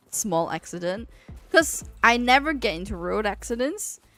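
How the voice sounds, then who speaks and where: A woman talks at a moderate pace while noticeable background noise persists behind her. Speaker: game streamer. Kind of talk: casual chat. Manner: stuttering when tired.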